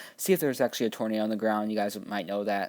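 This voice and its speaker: A man at a medium pitch is heard on a very clean recording with a silent background. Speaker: app reviewer. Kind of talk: tutorial. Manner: fast; casual, halting with fillers.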